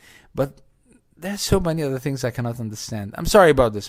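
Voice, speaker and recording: A man at a very fast pace, medium in pitch, with lively intonation. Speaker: radio host. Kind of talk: casual monologue commentary.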